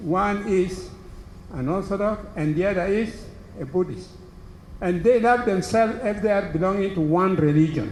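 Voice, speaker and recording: A man speaks at a moderate pace with a high pitch and ordinary pitch variation. Audible room echo and noticeable background noise accompany him. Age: 80s+. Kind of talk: speech to an audience.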